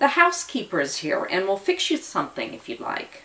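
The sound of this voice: Using a put-on character voice, a woman talks at a fairly quick pace and medium pitch, her bright, sharp tone swinging very widely in pitch amid audible room echo.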